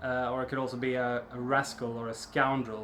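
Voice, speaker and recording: This man talks at a medium pitch with a Swedish accent. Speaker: snus reviewer. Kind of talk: product review. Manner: casual, hesitant with fillers.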